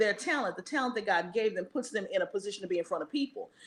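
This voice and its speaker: A woman with an American accent has an animated tone. Her intonation is lively. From East Texas. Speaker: show host and professional speaker. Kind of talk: casual chat on live show.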